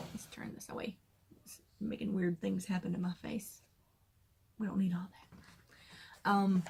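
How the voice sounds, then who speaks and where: With vocal fry and an American accent, a woman speaks fairly slowly in a monotone, flat intonation, with long, frequent pauses and big swings in loudness. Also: medium pitch for a woman. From US South, south Georgia. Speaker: crafting vlogger. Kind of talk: casual chat.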